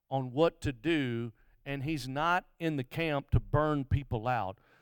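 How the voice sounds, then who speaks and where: Over a very clean recording with a silent background, a man with a fairly high pitch and an Alabama accent talks at a very slow pace with lively intonation. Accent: Southern US (Alabama). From US South, Mobile, Alabama. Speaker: guest revival preacher. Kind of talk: live revival sermon in church, testimony stories, call-and-response with congregation. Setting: church service with congregation. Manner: impassioned, rhythmic preaching cadence with repetitions and stammered restarts; many filler uhs and repeated words.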